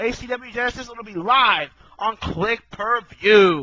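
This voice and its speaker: Putting on a character voice, a man speaks at a fairly slow pace. His pitch is high. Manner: salesman pitch, commercial announcer.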